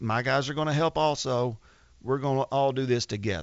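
At a fairly quick pace, a man talks in an ordinary speaking voice, medium in pitch and with ordinary pitch variation. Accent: American. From Arkansas, US South. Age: 40s. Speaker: drag boat racer. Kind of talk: casual chat. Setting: studio.

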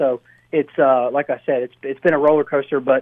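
Fairly quick in pace, a man with an ordinary speaking voice and fairly high pitch keeps his intonation fairly even. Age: 20s. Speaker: race car driver. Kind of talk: radio interview. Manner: casual, filler-heavy.

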